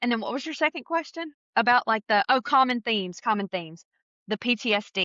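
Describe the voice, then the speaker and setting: This is a woman with an American accent. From US South. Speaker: podcast co-host. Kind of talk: casual interview chat. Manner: fast.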